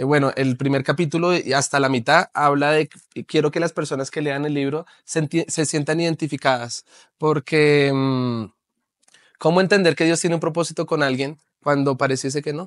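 A man speaks at a moderate pace and fairly high pitch, with fairly even intonation, in a dry sound with no echo over a quiet background. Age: 30s. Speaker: pastor and author; pastor. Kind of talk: interview testimony. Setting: TV studio. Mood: earnest personal testimony. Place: studio.

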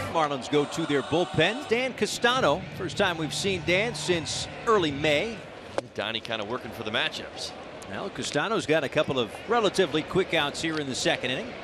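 Against noticeable background noise, a man with a fairly high pitch makes very wide pitch swings. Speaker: baseball commentator. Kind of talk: live play-by-play sports commentary. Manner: rapid, energetic play-by-play calls with bursts of excitement; light, jokey asides between calls.

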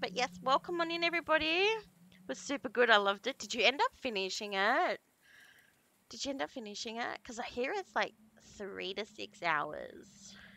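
In an Australian accent, a woman speaks at a high pitch with very wide pitch swings and a bright, sharp tone, the sound dry and close with no echo. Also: moderate pace. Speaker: horror game streamer. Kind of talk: live game stream chat. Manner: animated.

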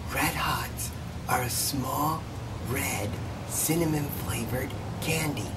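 A man at a very slow pace, long and frequent pauses, loud background noise behind him. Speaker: candy store owner and candy review channel host. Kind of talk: ASMR-style whispered candy information. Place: shop. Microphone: phone near.

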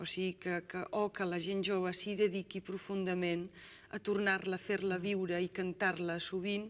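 The woman's intonation is monotone and flat. She speaks fairly slowly. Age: young. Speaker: singer. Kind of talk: interview answer. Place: studio.

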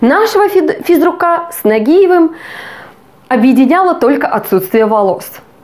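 Crowd noise fills the background while a woman talks at a fairly slow pace. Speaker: comedian. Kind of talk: stand-up comedy. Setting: stage with audience. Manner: animated, playing out dialogue between husband and wife.

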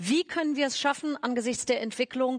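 With a quiet background, a woman speaks at a high pitch. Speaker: stage moderator. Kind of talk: speaker introduction. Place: stage. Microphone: headset.

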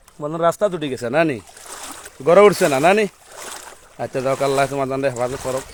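Ordinary pitch variation in a man's speech, with noticeable background noise behind it. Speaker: Islamic scholar and madrasa principal. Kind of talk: walking live video report with religious exhortation. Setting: outdoors, walking through flooded roads. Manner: casual, chats with villagers along the way.

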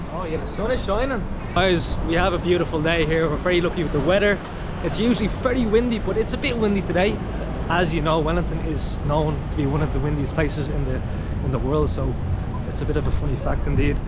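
A man talks at a very fast pace. Loud background noise fills the dry, echo-free recording. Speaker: travel vlogger. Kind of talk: casual vlog chat. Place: street. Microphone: phone near.

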